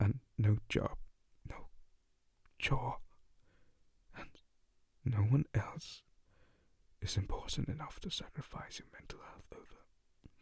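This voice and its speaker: Whispering at a very slow pace, a man speaks. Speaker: ASMR voice performer. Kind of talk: ASMR boyfriend roleplay voicemail. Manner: soft-spoken, comforting.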